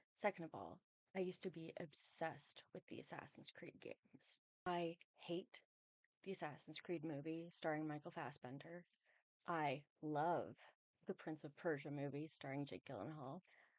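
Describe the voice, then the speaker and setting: The voice is soft-spoken, moving at a moderate pace with ordinary pitch variation. The sound is dry and close with no echo. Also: woman, very deep, low pitch for a woman. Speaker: video game movie commentator. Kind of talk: casual video essay commentary.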